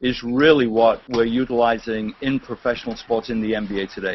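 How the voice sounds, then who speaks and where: A man with a British accent speaks at a medium pitch and moderate pace. His intonation stays fairly even, with noticeable background noise behind him. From England. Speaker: sports team executive. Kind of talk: casual interview. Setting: video call.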